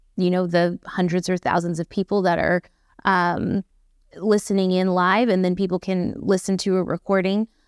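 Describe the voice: On a very clean recording with a silent background, a woman speaks at fairly low pitch. The sound is dry and close with no echo, and her tone is clear and smooth.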